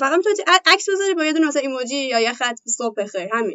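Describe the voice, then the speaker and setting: A woman speaks with ordinary pitch variation. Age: 20s. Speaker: Instagram influencer and office employee. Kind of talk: interview. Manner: halting.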